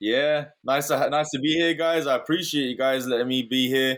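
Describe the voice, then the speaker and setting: The recording is very clean, with a silent background. In it, a man talks with an American accent. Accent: British, fading with American twang. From London, England. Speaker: real estate investor. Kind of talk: interview.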